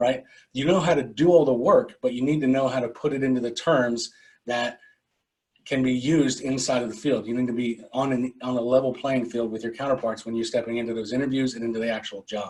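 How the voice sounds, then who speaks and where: A man with a medium-pitched voice talks at a fairly quick pace, with fairly even intonation. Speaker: project management trainer. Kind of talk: webinar presentation. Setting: online webinar. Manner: fast.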